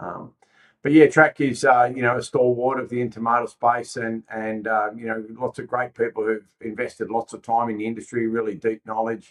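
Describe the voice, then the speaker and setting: A man with an Australian accent talks fairly quickly at medium pitch and fairly even intonation, in a dry, close sound without echo. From Australia, Sydney. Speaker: logistics company executive. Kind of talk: podcast interview.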